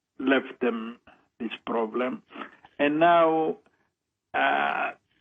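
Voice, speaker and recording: A man is speaking. He has a strong non-native accent. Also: long, frequent pauses. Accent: strong foreign. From outside Australia, migrated in 1964. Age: 70s. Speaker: radio caller. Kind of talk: call-in radio talk. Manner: halting.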